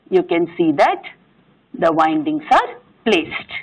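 A woman does the speaking. Nothing much can be heard behind her. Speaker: engineering lecturer. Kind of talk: lecture. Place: classroom.

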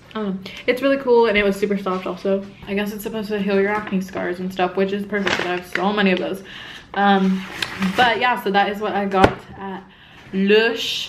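A woman talks at a fairly quick pace over noticeable background noise. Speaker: vlogger. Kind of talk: casual vlog chat. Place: home room. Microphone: phone near.

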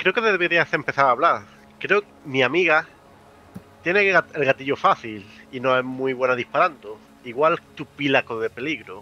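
Speaking at a moderate pace, a man uses a bright, sharp tone at medium pitch with ordinary pitch variation.

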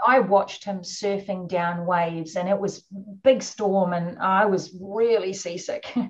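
Speaking fairly slowly with a New Zealand accent, a woman keeps her intonation fairly even over a quiet background. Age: 50s. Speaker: orca researcher. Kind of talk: webinar interview.

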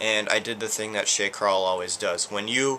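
Against light background noise, a man with an ordinary speaking voice talks at a moderate pace, fairly low in pitch, with fairly even intonation. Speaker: vlogger. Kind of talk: casual vlog chat. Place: home room.

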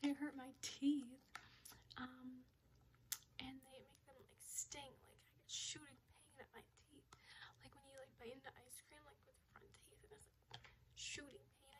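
Whispering at a fairly slow pace, a woman leaves long, frequent pauses. Her loudness swings widely. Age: 20s. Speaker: ASMR creator. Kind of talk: ASMR birthday haul talk to camera. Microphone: phone near.

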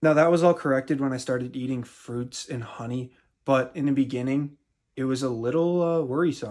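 The voice shows ordinary pitch variation against a quiet background. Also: man. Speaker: fitness content creator. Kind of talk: casual vlog chat. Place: home room. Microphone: phone near.

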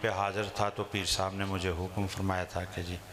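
A man speaks at a fairly low pitch in a flat monotone over light background noise. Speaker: speaker. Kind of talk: sermon. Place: hall. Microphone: handheld.

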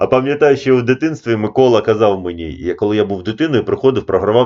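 A man at a medium pitch with a fairly quick pace, in a normal speaking voice. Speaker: chess coach. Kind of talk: casual video commentary. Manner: informal, digressive.

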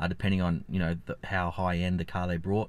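Speaking in an Australian accent at a fairly quick pace, a man with a very deep, low pitch keeps a monotone, flat intonation in a dry sound with no echo. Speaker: finance YouTuber. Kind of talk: vlog commentary; casual vlog chat. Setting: outdoors. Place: car. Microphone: phone near.

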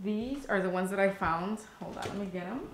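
A woman speaks with fairly even intonation, and her voice carries audible room echo. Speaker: lifestyle vlogger. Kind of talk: casual vlog chat, product review. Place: kitchen. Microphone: camera far.

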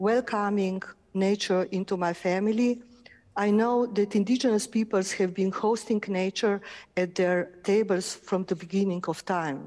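Here a woman speaks with a Slovenian accent at a medium pitch. Her pace is fairly slow, and her pitch varies in an ordinary way. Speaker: architect and artist. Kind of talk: lecture. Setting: auditorium with live and online audience.

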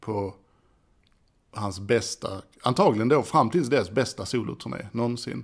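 Over a quiet background, a man speaks at a moderate pace in a fairly low pitch with vocal fry. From Sweden. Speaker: podcast host; home vlogger. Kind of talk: casual monologue. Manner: halting. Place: home room. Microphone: studio mic.

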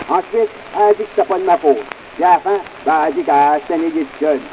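A man speaks in a Quebec accent at a fairly quick pace. Pitch variation is ordinary, with light background noise. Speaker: comedian, folklorist. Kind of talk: comic monologue recording. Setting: early acoustic recording. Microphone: old recording.

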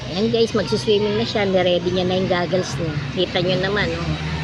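Noticeable background noise runs through the clip. A woman at medium pitch speaks at a fairly quick pace. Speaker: vlogger. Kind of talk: casual vlog narration. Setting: outdoors at water park. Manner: halting.

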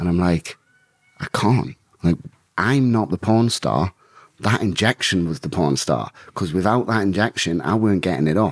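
A man speaks with a northern English accent and a very deep, low pitch. His intonation is lively. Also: moderate pace, quiet background. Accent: mild Geordie-tinged northern English. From northern England. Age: 30s. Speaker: bare-knuckle fighter; podcast guest. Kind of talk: casual interview about life story. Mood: relaxed, candid, amused. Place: home room. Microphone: studio mic.

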